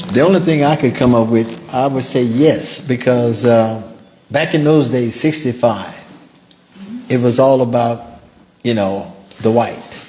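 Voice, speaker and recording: A man with an American accent at medium pitch, fairly slow pace, long, frequent pauses and very even loudness, with noticeable background noise and audible room echo. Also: ordinary pitch variation. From US South, Natchez, Mississippi. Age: 70s. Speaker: civil rights survivor. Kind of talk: testimony. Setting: museum event with audience.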